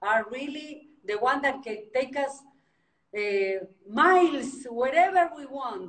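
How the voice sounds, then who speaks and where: The speech moves at a very slow pace, its pitch swinging very widely. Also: woman. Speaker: interviewer, real estate agent. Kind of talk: interview. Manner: halting, many fillers.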